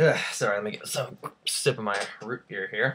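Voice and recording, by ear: At a fairly slow pace, a man speaks with a fairly low pitch and a fairly bright tone.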